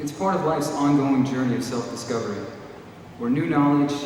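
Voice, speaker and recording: A man with an American accent and fairly even intonation, amid audible room echo and noticeable background noise. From United States. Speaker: graduating student. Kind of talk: commencement speech. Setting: graduation ceremony hall with audience. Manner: formal.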